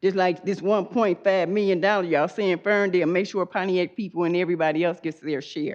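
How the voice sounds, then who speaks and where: Speaking at a fairly quick pace with an American accent, a woman uses an ordinary speaking voice of medium pitch and fairly even intonation. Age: 60s. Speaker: public commenter. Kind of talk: public comment at meeting.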